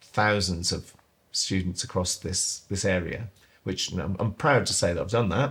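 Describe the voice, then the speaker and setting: Somewhat breathy and fairly low in pitch, a man speaks with a Suffolk accent on a very clean recording with a silent background. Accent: Suffolk accent, noticeable. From East Suffolk, England. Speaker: assistant head teacher. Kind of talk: podcast interview.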